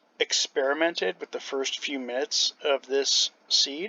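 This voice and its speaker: A man at a fairly slow pace. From Canada. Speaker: gamer and after-school care worker. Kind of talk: gameplay commentary. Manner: casual with many fillers.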